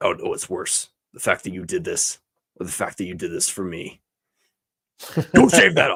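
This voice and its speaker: A man puts on a character voice at a moderate pace. He leaves long, frequent pauses, and his loudness swings a lot. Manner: stern, barking.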